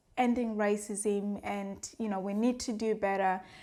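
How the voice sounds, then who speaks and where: A woman with an African accent speaks fairly slowly, with fairly even intonation. The recording is very clean, with a silent background. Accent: African accent, worked to adapt it. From Africa, former British colony. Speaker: vlogger. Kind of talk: personal vlog monologue. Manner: earnest, conversational with fillers.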